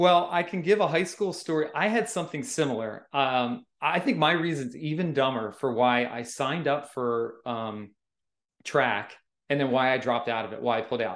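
With an unremarkable speaking voice, a man talks in a fairly high pitch with lively intonation. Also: moderate pace. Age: 40s. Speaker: amateur trail runner, guest. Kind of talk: casual interview chat. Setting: remote call.

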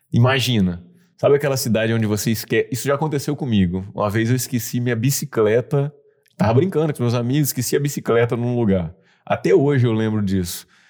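Very fast speech from a man at medium pitch with a slight Bahian accent and ordinary pitch variation, in a very clean recording with a silent background. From Bahia, Brazil (Mucuri). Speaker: entrepreneur. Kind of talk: interview conversation.

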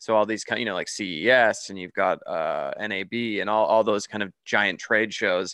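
A man with a Canadian accent keeps a moderate pace with hardly any pauses over a quiet background. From Canada. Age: 30s. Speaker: horror filmmaker. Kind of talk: casual interview.

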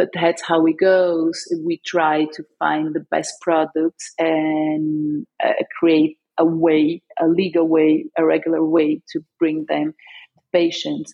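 A woman's fairly low voice with a non-native accent, monotone and flat, at a very slow pace. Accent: foreign. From Brazil, São Paulo. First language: Portuguese. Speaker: cannabis industry entrepreneur. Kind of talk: interview.

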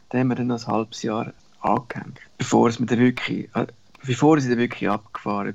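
In a monotone, flat intonation, a man talks at a fairly quick pace. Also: medium pitch for a man. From Central Switzerland. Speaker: travel business owner and cyclist. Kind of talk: interview storytelling. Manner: halting, with many fillers.

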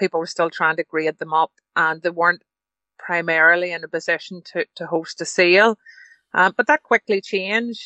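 A woman with a Northern Irish accent, fairly low in pitch, at a moderate pace with fairly even intonation. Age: 50s. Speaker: livestock show council member and estate agent. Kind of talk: interview.

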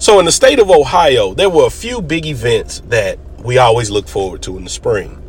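A man's animated tone at a moderate pace, with hardly any pauses and noticeable background noise. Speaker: podcast host, storyteller. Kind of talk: personal storytelling.

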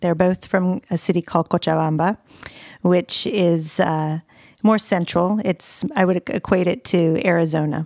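Here a woman with an American accent and an unremarkable speaking voice speaks at a fairly slow pace and fairly low pitch, with fairly even intonation and very even loudness. The recording is very clean and dry, close with no echo, with a silent background. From US South, Pensacola, Florida. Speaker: runner and yoga instructor. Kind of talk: casual chat.

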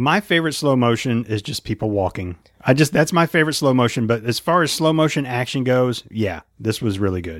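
A man at medium pitch with lively intonation and a fairly quick pace.

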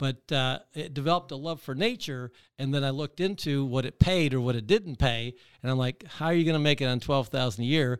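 In an ordinary speaking voice with an American accent, a man talks at a fairly quick pace and fairly high pitch with ordinary pitch variation, on a very clean recording with a silent background. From Michigan. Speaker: real estate investor. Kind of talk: interview. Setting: studio.

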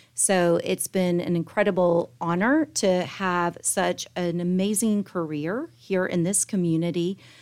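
A woman with an American accent speaks in a normal speaking voice at a medium pitch and a fairly slow pace, with ordinary pitch variation and hardly any pauses, on a very clean recording with a silent background. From Tallahassee, Florida. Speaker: marketing agency executive, business chamber chair. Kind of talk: interview.

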